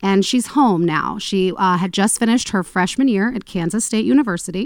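Speaking at a moderate pace, a woman has a plain, everyday voice, medium pitch and lively intonation, recorded very cleanly against a silent background. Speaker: podcast host. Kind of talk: casual chat and true crime storytelling.

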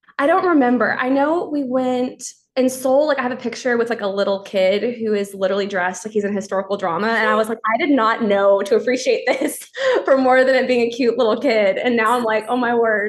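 Speaking at a fairly quick pace with an American accent, the voice is an unremarkable speaking voice with ordinary pitch variation. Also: woman, fairly high pitch for a woman. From Texas. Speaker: church worker. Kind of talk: casual chat.

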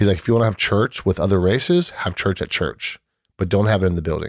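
In an ordinary speaking voice, a man with an American accent talks at a fairly quick pace, fairly low and with fairly even intonation. The recording is very clean with a silent background, and the sound is dry and close with no echo. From US West Coast, San Diego (South Bay). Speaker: podcast guest sharing faith story. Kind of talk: casual chat, personal testimony.

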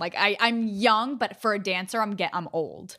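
On a very clean recording with a silent background, a woman with a slight New York accent speaks with fairly even intonation. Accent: slight New York accent on certain words. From Staten Island, New York, then Pennsylvania. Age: 20s. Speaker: dancer and dance teacher. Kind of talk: casual chat.

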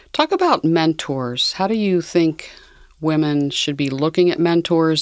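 A woman with a very deep, low pitch talks fairly slowly. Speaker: podcast host. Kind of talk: interview conversation.

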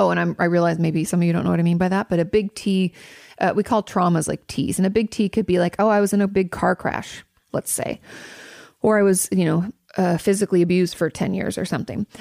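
A woman at a medium pitch and fairly quick pace, with fairly even intonation, in a dry, close sound with no echo and a very clean recording, silent background. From Washington State, US. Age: 30s. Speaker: therapist and podcast host. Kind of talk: advice Q&A monologue. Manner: fast; casual, laughing often.

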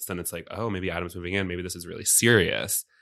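In a very clean recording over a silent background, a voice with a bright, sharp tone and an American accent speaks at a very fast pace. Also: man. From Virginia. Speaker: comedian. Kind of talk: casual chat. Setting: studio.

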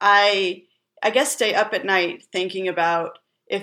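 At a moderate pace, a woman talks in a bright, sharp tone with fairly even intonation. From California. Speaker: writer and crypto organization co-founder. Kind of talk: interview.

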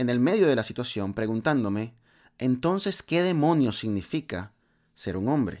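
A man speaks at a moderate pace and medium pitch, with very wide pitch swings. The recording is very clean, with a silent background. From Latin America. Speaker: podcast host. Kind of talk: motivational monologue.

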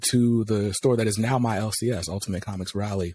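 A man with an American accent speaks at a fairly low pitch, somewhat breathy. The recording is very clean and the background silent. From US South, North Carolina. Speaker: comics YouTuber. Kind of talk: casual interview.

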